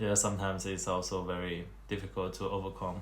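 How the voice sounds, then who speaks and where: A somewhat breathy voice with a non-native accent comes through with audible room echo. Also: man. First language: Chinese. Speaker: vlogger. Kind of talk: casual monologue. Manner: halting.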